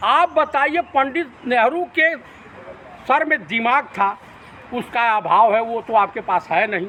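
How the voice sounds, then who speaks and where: Over noticeable background noise, a man with an extremely high pitch speaks with lively intonation. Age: 60s. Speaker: political commentator. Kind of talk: TV debate interview. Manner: animated.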